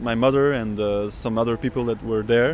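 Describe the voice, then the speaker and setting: A man with a Dutch accent speaks at a fairly quick pace. Music plays in the background. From Belgium and Spain. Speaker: oud player. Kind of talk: interview testimony. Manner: halting.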